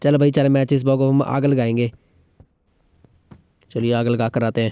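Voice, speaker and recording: Pitched at a medium level, a man talks in a dark, mellow tone with monotone, flat intonation. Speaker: gaming vlogger. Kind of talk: gaming commentary. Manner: joking, casual.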